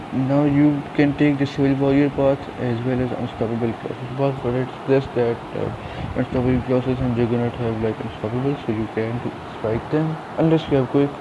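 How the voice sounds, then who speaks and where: Flat, monotone intonation at a fairly quick pace over noticeable background noise. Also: man, medium pitch for a man. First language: not English. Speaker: gaming youtuber. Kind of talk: game tutorial. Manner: hesitant, many fillers.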